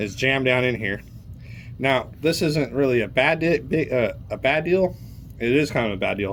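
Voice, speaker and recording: Vocal fry in a man's medium-pitched voice, with ordinary pitch variation. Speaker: car mechanic YouTuber. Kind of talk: casual tutorial. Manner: fast.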